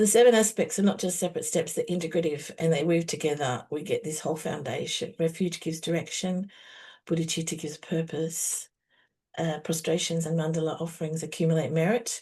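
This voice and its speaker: Over a quiet background, a woman speaks in a fairly low, somewhat breathy voice with a dark, mellow tone and fairly even intonation. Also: fairly quick pace. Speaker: meditation teacher. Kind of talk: spiritual teaching session. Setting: online video call. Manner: fast.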